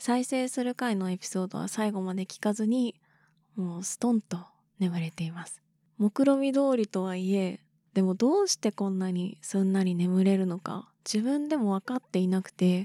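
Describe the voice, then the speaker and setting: In a dark, mellow tone and medium pitch, a woman talks at a moderate pace with ordinary pitch variation, the sound dry and close with no echo and the background silent in a very clean recording. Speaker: solo podcaster. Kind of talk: casual monologue.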